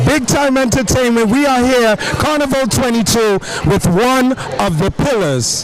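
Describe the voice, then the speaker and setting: Over noticeable background noise, a man speaks at an extremely high pitch and a fairly slow pace, with ordinary pitch variation and very even loudness. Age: 40s. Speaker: event reporter. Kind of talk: on-location interview. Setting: outdoors at festival.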